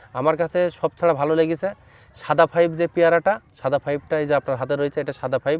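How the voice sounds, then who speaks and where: A man with a fairly high pitch speaks in a normal speaking voice. The sound is dry and close, with no echo. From Bangladesh, Chuadanga district. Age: young. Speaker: fruit farmer and nursery owner. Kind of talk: field interview. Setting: outdoors in an orchard.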